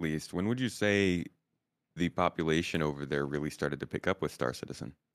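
Someone with an American accent talks at a fairly quick pace with vocal fry. The recording is very clean with a silent background and a dry, close sound with no echo. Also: man. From United States. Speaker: Star Citizen YouTuber. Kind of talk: casual chat.

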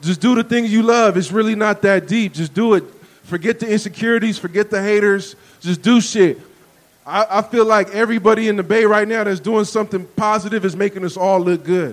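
The man sounds animated, speaking fairly quickly at a high pitch. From San Francisco. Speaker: podcast host and rapper. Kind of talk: live podcast interview. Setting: stage with audience.

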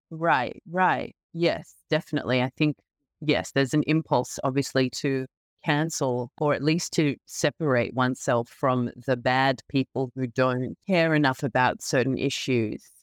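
With an Australian accent, a woman speaks at a fairly slow pace in a very deep, low pitch, with ordinary pitch variation and very even loudness, the sound dry and close with no echo. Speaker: novelist. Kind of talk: interview. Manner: halting, many fillers.

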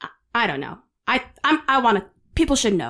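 The recording is very clean, and the background is silent. A woman talks at a high pitch. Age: 30s. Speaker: podcast host and entertainer. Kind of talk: casual true crime storytelling.

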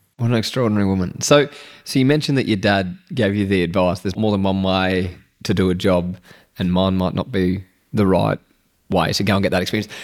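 A man talks at a very fast pace with an Australian accent. His pitch is very deep and low. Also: ordinary pitch variation. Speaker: podcast host. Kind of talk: interview.

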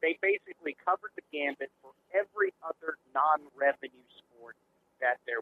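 A man's unremarkable speaking voice, fairly high in pitch, at a moderate pace with ordinary pitch variation and big swings in loudness. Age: 50s. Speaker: former sports radio broadcaster. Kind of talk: casual chat.

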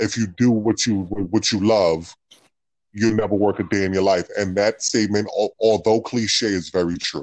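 Ordinary pitch variation marks a man's fairly low voice with an American accent. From New York City, the Bronx. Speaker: former college basketball player. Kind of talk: interview. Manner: halting.

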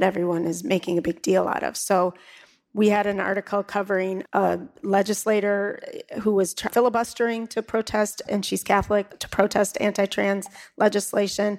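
In an American accent and a plain, everyday voice, a woman speaks at a medium pitch and moderate pace with fairly even intonation, the sound dry and close with no echo. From Milwaukee, Wisconsin. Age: 50s. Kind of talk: live podcast panel discussion; show introduction. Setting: live taping before an audience.

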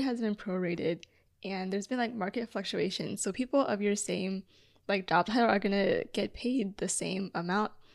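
In a very clean recording with a silent background, a woman speaks at a moderate pace and medium pitch with ordinary pitch variation. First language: Chinese. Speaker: podcast co-host. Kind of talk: casual chat.

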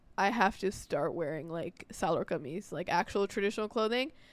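A woman with a New York accent talks at a medium pitch and a fairly quick pace. The recording is very clean, with a silent background. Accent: New York American. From New York, US. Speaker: podcast co-host. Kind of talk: casual chat. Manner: animated.

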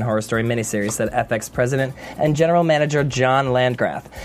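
A man talks very fast at medium pitch with ordinary pitch variation. Noticeable background noise is present. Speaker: TV after-show co-host. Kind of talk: casual chat. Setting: studio.

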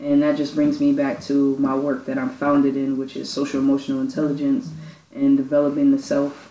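In an American accent, the speaker talks at a fairly quick pace. Noticeable background noise runs underneath. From Brooklyn, New York. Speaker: youth program founder. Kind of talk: casual chat.

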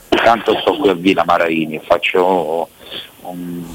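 Noticeable background noise fills the recording. Through it, a man talks at a moderate pace. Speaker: caller in alcohol rehab. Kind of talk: phone-in chat.

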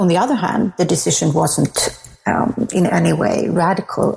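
With a Swedish accent, the speaker talks at a moderate pace with ordinary pitch variation over noticeable background noise. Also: woman. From Sweden. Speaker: author and academic. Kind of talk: interview.

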